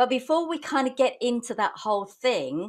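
A high-pitched female voice. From Essex, southern England; southern England. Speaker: online business community host. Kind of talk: live interview. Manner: animated. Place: home room. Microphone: video call.

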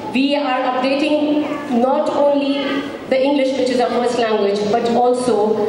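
A woman with a fairly high pitch and ordinary pitch variation speaks at a fairly slow pace, with audible room echo and clear background noise.

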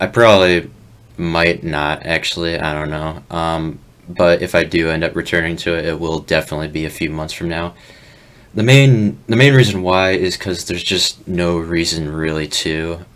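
Using ordinary pitch variation, a man with a very deep, low pitch speaks at a moderate pace. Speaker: streamer. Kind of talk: casual monologue. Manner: halting; downbeat.

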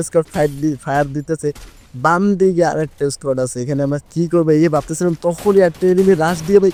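His tone is dark and mellow. The man's pitch sits fairly high. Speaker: gaming YouTuber. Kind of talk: gameplay commentary. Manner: animated.

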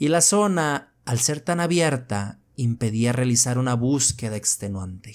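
A man with a medium pitch speaks in a dramatic tone, with hardly any pauses and very even loudness. The recording is very clean, and the background is silent. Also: lively intonation, fairly slow pace. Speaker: horror story narrator. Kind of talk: horror narration, first-person story read aloud. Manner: tense, hushed, slow-building suspense; measured, dramatic pacing.

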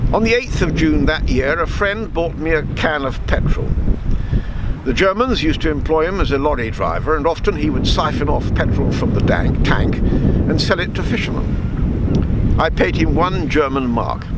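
A man at a moderate pace, the sound dry with no echo, amid loud background noise. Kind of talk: reading a story aloud. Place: waterside.

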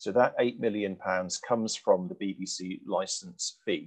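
The background is silent apart from a man. He keeps to a moderate pace. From UK. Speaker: press policy organization founder. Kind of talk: lecture with slides then panel Q&A. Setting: video call. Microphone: headset.

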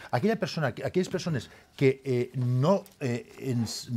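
A man at a very slow pace, somewhat breathy, with lively intonation and light background noise. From Valencia. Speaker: politician. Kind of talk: heated debate. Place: studio. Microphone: lapel.

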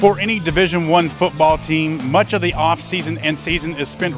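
A man is talking at a moderate pace. Behind him, music plays. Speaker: sports reporter. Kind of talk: news reporting.

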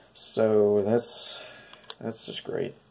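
A man speaks at a fairly low pitch with a dark, mellow, nasal tone and vocal fry.

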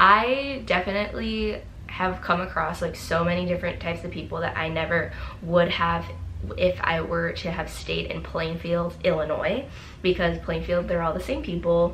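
A woman talks at a moderate pace, with light background noise underneath. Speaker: YouTuber. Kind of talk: casual vlog talk. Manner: animated. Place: home room.

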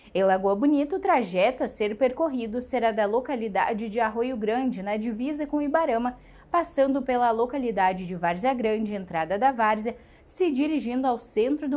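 A woman with a fairly high pitch talks at a moderate pace, her intonation lively. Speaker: news anchor. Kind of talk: newsreading. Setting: studio. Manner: formal, steady, even delivery. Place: studio. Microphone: lapel.

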